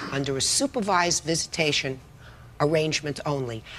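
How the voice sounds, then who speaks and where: Noticeable background noise runs beneath speech that keeps a moderate pace and ordinary pitch variation. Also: woman. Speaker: TV judge. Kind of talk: courtroom ruling and lecture. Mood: stern, scolding. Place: stage.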